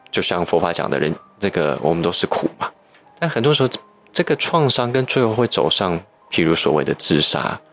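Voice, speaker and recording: The loudness stays very even while the pitch swings very widely, with noticeable background noise. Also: man, fairly low pitch for a man, fairly quick pace. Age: young. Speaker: psychotherapist. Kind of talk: interview. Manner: articulate and well-organized.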